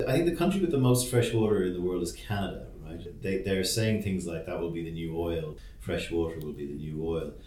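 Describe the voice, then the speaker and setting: Music plays in the background as a man with a very deep, low pitch talks at a fairly quick pace with lively intonation. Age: 40s. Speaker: podcast host. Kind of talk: casual chat. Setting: office.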